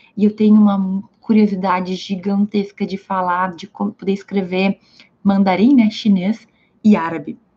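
A woman of medium pitch speaks in a somewhat breathy, dark, mellow tone with monotone, flat intonation. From Brazil, Rio Grande do Sul (Santa Maria). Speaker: law content creator. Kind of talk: livestream talk. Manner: casual, conversational.

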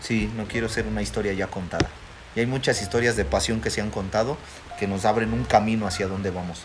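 Speaking at a very fast pace, a man with a fairly low pitch and ordinary pitch variation is heard amid noticeable background noise and audible room echo. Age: 30s. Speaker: pastor. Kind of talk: casual chat.

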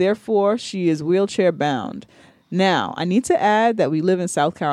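The reading voice sounds natural. Pitch moves in an ordinary way.

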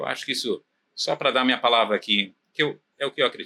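A man talks at a fairly quick pace, recorded with a dry, close sound and no echo. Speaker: property management company founder. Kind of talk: casual interview chat. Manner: halting, many fillers.

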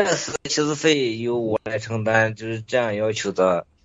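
A man with a medium pitch talks at a fairly slow pace with fairly even intonation. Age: middle-aged. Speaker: caller with advice question. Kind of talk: call-in advice conversation. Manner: halting.

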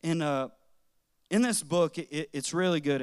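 On a very clean recording against a silent background, the delivery keeps fairly even intonation. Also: man. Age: 30s. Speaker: guest preacher. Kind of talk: sermon.

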